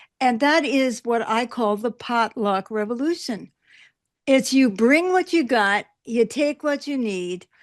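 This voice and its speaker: With a New York accent, a woman speaks in a high pitch and with lively intonation over a quiet background. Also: fairly slow pace. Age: 80s+. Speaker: political activist. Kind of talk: interview.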